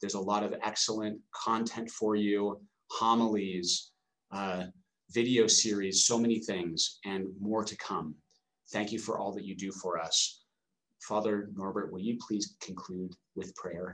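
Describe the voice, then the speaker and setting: A man speaks slowly, at a fairly slow pace. His fairly low voice stays monotone and flat. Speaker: priest and novice master. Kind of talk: webinar host intro and Q&A moderation. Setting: online webinar.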